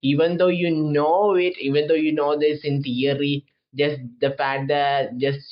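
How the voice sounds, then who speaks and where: Speaking with a non-native accent, a man keeps a moderate pace. His intonation is fairly even. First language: not English. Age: 20s. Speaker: manga commentator. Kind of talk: casual monologue review. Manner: halting, many false starts.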